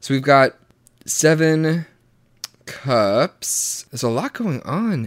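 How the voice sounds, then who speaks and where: A man with an American accent, fairly high in pitch, at a very slow pace with long, frequent pauses and lively intonation, in a dry, close sound with no echo. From US South. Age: 20s. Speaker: podcast host. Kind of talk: casual chat. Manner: halting, many restarts.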